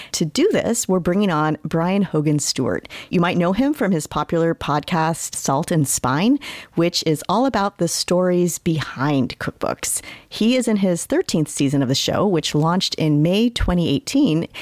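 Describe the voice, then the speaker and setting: This woman has a normal speaking voice with a fairly low pitch. Her intonation is lively. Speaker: podcast host. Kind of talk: interview conversation.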